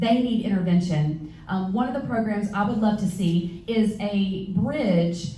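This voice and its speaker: A woman with an American accent speaks at medium pitch with ordinary pitch variation, with noticeable background noise and audible room echo. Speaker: school board candidate. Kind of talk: candidate forum answers. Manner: fast.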